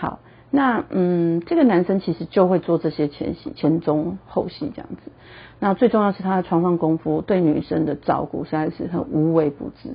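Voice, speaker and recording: A woman with a fairly low pitch and a somewhat breathy voice speaks at a moderate pace, with lively intonation and big swings in loudness. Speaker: podcast host, relationship and sex psychology talk. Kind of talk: casual monologue. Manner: animated.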